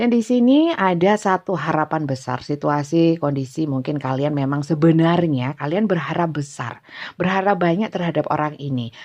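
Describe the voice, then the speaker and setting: A woman with a strong Javanese accent talks at a moderate pace in a very deep, low voice with lively intonation. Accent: thick Javanese. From Java, Indonesia. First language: Javanese (speaking Indonesian). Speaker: tarot reader. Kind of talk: tarot reading livestream. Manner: casual, laughs often; halting with fillers.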